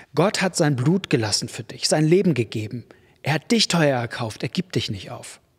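Against a quiet background, a man speaks at a moderate pace in a warm, somewhat breathy tone. His pitch swings very widely. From Germany. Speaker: preacher. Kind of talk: sermon. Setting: church. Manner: warm, direct, conversational address; emphatic, repetitive for effect. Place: church. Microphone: studio mic.

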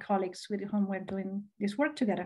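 Her voice is somewhat breathy, and the woman's tone is dark and mellow. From Argentina. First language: Spanish. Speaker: professor and conservation biologist. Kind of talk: lecture. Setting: video call. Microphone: webcam.

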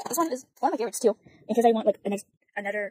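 Shaky and very fast, a woman's voice carries a dark, mellow tone with ordinary pitch variation in a dry sound with no echo. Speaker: beauty vlogger. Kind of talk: casual makeup talk to camera. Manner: hesitant, stuttering, many fillers; awkward, shaky. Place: home room. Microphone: phone near.

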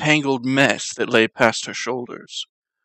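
Against a quiet background, the clip is plain reading aloud with ordinary pitch variation.

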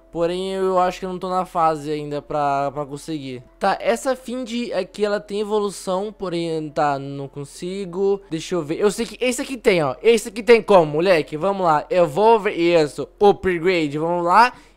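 Music plays in the background. The talking moves at a moderate pace with hardly any pauses. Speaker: gaming youtuber. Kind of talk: gameplay commentary. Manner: animated.

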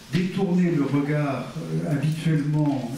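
Amid strong room echo and light background noise, a man talks at a fairly slow pace. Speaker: philosophy lecturer. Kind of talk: lecture. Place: meeting room.

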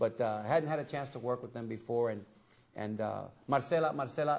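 With an American accent, a man talks in a fairly even intonation. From Tampa, Florida; Florida. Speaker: TV talk show host. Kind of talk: talk show chat. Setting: studio. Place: studio.

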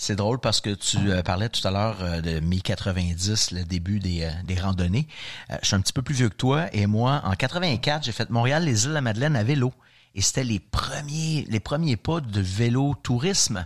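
In a plain, everyday voice, a man with fairly low pitch and lively intonation talks at a fairly slow pace with very even loudness, on a very clean recording with a silent background. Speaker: brewery representative. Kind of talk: ad segment, brand history.

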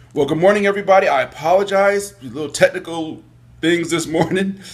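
The voice belongs to a man. He speaks at a moderate pace. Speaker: call-in show host. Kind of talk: radio show host chat. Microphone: earbuds.

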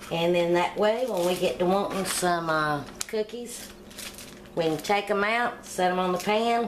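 The speech moves at a moderate pace with ordinary pitch variation. Light background noise sits underneath. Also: woman. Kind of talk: cooking tutorial. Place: kitchen. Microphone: phone near.

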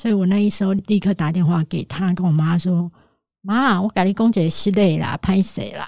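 A woman with a medium pitch and a dark, mellow, somewhat breathy tone speaks at a moderate pace with hardly any pauses, fairly even intonation, and big swings in loudness. The sound is dry and close, with no echo. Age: 40s. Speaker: author. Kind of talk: interview.

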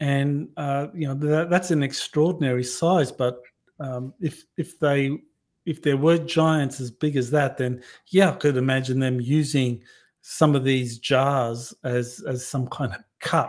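In an Australian accent, a man speaks at a fairly slow pace in a fairly high voice with fairly even intonation against a quiet background. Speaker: podcast host. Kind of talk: interview. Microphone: webcam.

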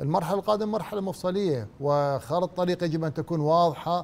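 At a moderate pace, a man talks in a high voice with ordinary pitch variation. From Iraq. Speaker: football pundit. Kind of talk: sports panel discussion. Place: studio. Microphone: lapel.

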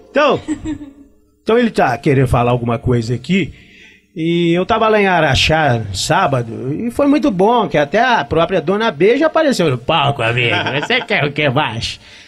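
A man at a moderate pace with faint music in the background. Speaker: interviewee. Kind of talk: interview answer. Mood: cheerful, joking. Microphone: handheld.

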